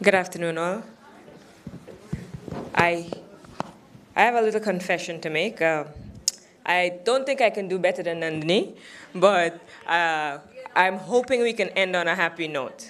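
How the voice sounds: A woman with a fairly low-pitched voice speaks at a fairly slow pace. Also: ordinary pitch variation.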